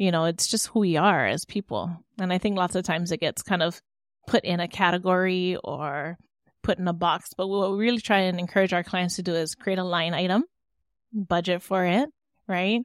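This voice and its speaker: In a Hawaiian accent, a woman of medium pitch talks at a fairly quick pace with fairly even intonation, the sound dry and close with no echo against a quiet background. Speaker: entrepreneur and cultural practitioner. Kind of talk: interview conversation.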